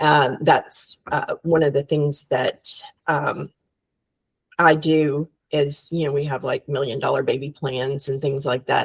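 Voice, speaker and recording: A woman with a very deep, low pitch speaks at a fairly slow pace, somewhat breathy and flat in a monotone, with a dry, close sound and no echo. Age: 60s. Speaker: business founder. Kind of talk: podcast interview.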